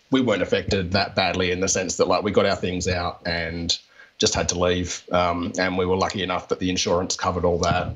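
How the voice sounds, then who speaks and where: Over noticeable background noise, a man with a strong Australian accent talks at a fairly quick pace in a very deep, low voice. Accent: broad Australian. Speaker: comic artist and author. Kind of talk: interview answer. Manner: casual, hesitant. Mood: relaxed, friendly, smiling. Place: home room. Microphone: handheld.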